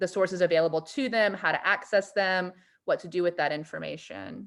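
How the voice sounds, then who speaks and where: This woman has a plain, everyday voice at medium pitch with fairly even intonation. The recording is very clean, the background silent. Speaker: teacher. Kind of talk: information session for parents.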